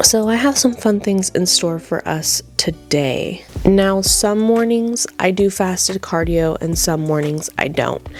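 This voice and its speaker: A woman speaks at a fairly slow pace with music playing behind her. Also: medium pitch for a woman, hardly any pauses. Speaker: bodybuilding competitor and fitness coach. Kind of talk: casual vlog talk to camera. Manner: monotone.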